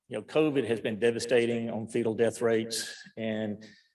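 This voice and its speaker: A man's voice over a quiet background. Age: 60s. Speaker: physician testifying to lawmakers. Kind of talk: legislative hearing testimony. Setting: committee hearing room.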